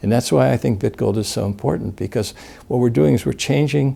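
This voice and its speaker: Dark and mellow in tone, a man's fairly low voice carries vocal fry. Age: 60s. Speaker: gold company director, interviewee. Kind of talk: interview. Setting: in-person sit-down interview in New Orleans.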